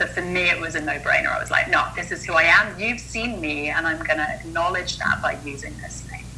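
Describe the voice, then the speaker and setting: A woman talks at a fairly quick clip with hardly any pauses, her loudness swinging widely. Noticeable background noise and audible room echo fill the recording. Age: 40s. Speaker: mindset coach and monk. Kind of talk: interview conversation.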